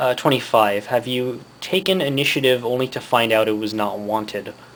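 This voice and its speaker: A man's voice at medium pitch, with noticeable background noise. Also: ordinary pitch variation. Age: 20s. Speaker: vlogger. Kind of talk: casual monologue reading test questions. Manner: fast; halting.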